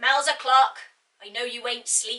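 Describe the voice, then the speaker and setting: In a put-on character voice, a woman talks loudly at a moderate pace, her high pitch held in a monotone, flat delivery. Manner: very loud, foghorn volume, scolding.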